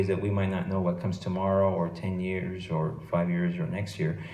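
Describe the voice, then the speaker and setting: With an American accent and a very deep, low pitch, a man speaks at a fairly quick pace in a dark, mellow tone. Room echo is audible. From Los Angeles, California. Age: 40s. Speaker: FBI agent. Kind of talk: motivational talk to students. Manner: hesitant, many fillers and repetitions.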